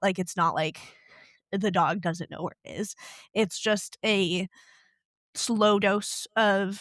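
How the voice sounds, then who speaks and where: With an American accent, a woman speaks in an ordinary speaking voice at medium pitch with ordinary pitch variation. The sound is dry and close with no echo, on a very clean recording with a silent background. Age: young. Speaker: dog trainer at an animal shelter. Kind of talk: podcast interview answer. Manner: casual, conversational.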